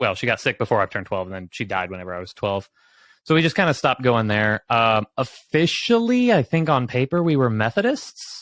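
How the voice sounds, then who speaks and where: A man with an American accent has an ordinary speaking voice at a medium pitch and a fairly quick pace. His intonation is lively, and the sound is dry and close with no echo. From southeastern Oklahoma. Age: 30s. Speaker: guest sharing faith story, tech professional. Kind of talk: testimony. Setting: livestream.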